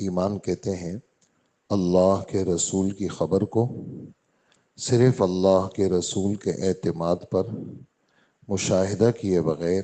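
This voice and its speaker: A man's voice comes through very deep and low, with a dark, mellow tone. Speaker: Islamic scholar giving a sermon. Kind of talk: religious sermon after fajr prayer in a mosque.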